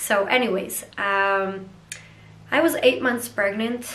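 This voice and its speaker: A woman with a medium-pitched voice talks at a fairly slow pace with ordinary pitch variation. The recording has audible room echo and noticeable background noise. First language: not English. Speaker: vlogger. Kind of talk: casual vlog monologue. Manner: hesitant, many fillers.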